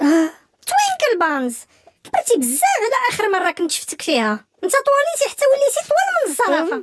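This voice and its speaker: Put-on character voice, extremely high-pitched and excited, with very wide pitch swings at a moderate pace. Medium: fan dub. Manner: excited, sing-song.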